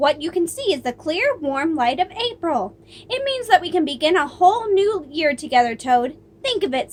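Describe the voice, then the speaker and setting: A woman puts on a character voice pitched extremely high, speaking at a moderate pace. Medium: read story.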